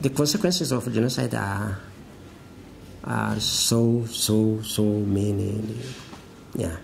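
A man speaks at a very slow pace with long, frequent pauses. Light background noise is audible. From Rwanda. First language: Kinyarwanda. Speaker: tribunal prosecution counsel; former tribunal lawyer. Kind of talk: interview. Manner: halting. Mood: reflective, solemn. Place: office.

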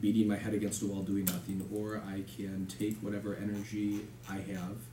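Amid noticeable background noise, a man with a fairly low pitch talks at a moderate pace. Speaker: candidate. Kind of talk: interview answer. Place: meeting room.

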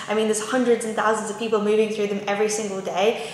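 A woman's voice amid audible room echo and light background noise. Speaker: lifestyle vlogger. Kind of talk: casual vlog tips. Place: kitchen.

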